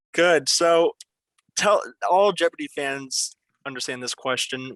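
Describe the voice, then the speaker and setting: The tone is bright and sharp, with ordinary pitch variation, in a Pennsylvania accent. The sound is dry and close, with no echo. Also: man. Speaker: quiz show host. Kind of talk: game show hosting. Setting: video call.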